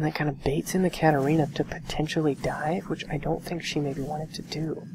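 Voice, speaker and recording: A soft-spoken woman talks at a fairly quick pace with a very deep, low pitch. Noticeable background noise is present. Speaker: gaming coach commentator. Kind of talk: gameplay commentary and coaching. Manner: quiet, soft-spoken.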